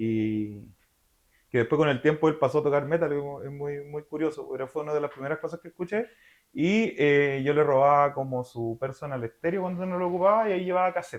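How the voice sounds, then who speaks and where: Speaking at a fairly quick pace, a man with a Chilean accent has a fairly high pitch. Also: ordinary pitch variation. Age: 30s. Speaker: metal singer. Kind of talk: interview. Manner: casual with many fillers.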